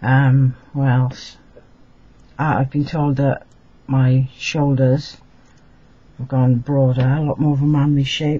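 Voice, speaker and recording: A man speaks very slowly at a fairly high pitch, somewhat breathy, with long, frequent pauses. His intonation is monotone and flat. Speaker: vlogger. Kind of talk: casual vlog update. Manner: hesitant, many fillers.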